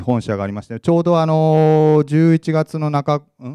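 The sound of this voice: The tone is clear and smooth, yet dark and mellow, with fairly even intonation. The sound is dry and close with no echo. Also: man.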